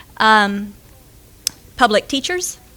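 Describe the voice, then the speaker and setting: A woman speaks with a Southern accent. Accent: fast Southern. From Florida, US South. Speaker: school director, aerospace engineer. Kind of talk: conference talk. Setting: stage with audience.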